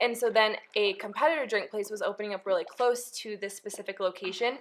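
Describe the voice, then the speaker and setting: Here a woman talks at a fairly quick pace with a Utah accent. Her pitch is fairly high. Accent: Utah accent, recently acquired. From California. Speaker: podcast co-host, mom. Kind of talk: casual chat.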